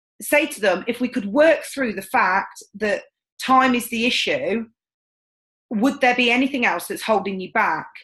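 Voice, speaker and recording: A woman speaks loudly at a moderate pace in a high pitch, with ordinary pitch variation and a passionate, confident tone. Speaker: sales team trainer. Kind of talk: training session. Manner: loud and confident.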